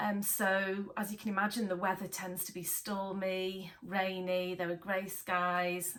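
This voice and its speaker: Noticeable background noise sits behind a woman of medium pitch. She talks at a fairly slow pace in a monotone, flat intonation. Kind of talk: IELTS model speaking answer. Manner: casual, hesitant, conversational.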